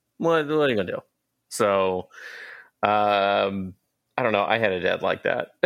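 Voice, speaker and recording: A man with an American accent and a fairly low pitch, ordinary pitch variation, very even loudness and long, frequent pauses, in a very clean recording with a silent background. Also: moderate pace. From US South, Atlanta. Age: 30s. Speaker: comic book and entertainment writer. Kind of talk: casual chat.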